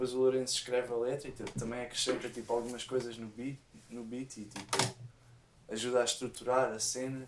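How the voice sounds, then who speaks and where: Delivered at a fairly quick pace, a man's medium-pitched voice stays monotone and flat while its loudness swings widely. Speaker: musician and sound engineer. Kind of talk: casual chat.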